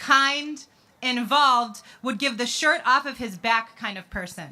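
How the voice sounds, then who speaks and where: A woman's raised, projected voice, bright and sharp in tone, at a fairly slow pace with ordinary pitch variation. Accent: American. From US Midwest, Chicago. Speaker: advocate, bereaved sister. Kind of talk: rally speech. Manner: impassioned.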